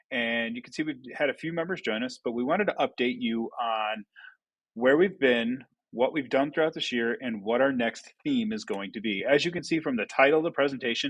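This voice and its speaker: Talking at a fairly quick pace, a man has a medium pitch and lively intonation. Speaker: school staff committee member. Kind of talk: staff presentation. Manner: fast.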